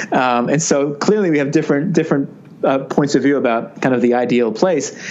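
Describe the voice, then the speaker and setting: A man with a New Jersey accent speaks at a fairly quick pace in a fairly high pitch with ordinary pitch variation and very even loudness. Noticeable background noise and audible room echo come through. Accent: American, New Jersey. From US, New Jersey. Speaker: business author and consultant. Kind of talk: interview. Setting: remote call.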